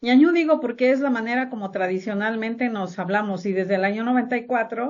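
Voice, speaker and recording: A woman's fairly quick delivery. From Mexico, Valle del Mezquital, Hidalgo. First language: Otomi (Hñahñu) (speaking Spanish). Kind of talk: interview.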